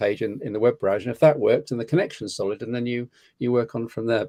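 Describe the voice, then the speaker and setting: At a very fast pace, a man with a British accent speaks in a dark, mellow, medium-pitched voice with ordinary pitch variation over a quiet background. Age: 60s. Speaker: tech commentator. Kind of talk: casual chat.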